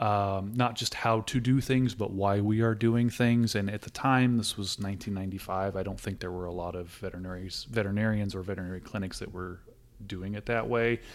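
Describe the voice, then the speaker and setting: With a Californian accent, a man with a fairly low pitch talks at a fairly quick pace and with fairly even intonation. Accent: Californian American English. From Southern California. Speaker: veterinary technician. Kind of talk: interview.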